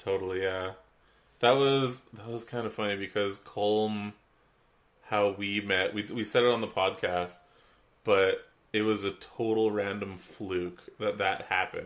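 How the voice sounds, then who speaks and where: The voice is nasal, with monotone, flat intonation. It moves at a fairly slow pace. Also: man, fairly low pitch for a man. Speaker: podcast co-host. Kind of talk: casual chat.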